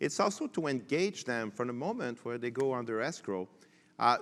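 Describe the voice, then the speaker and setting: Speaking with a French Canadian accent at medium pitch, a man talks at a fairly quick pace in a very clean recording with a silent background. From Quebec. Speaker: tech panelist. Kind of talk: panel discussion. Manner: halting.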